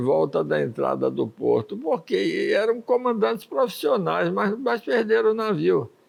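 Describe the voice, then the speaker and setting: A man's voice over noticeable background noise. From Bahia, Brazil (born in Ukraine). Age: 80s+. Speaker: sailor and adventurer. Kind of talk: interview. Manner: conversational, storytelling.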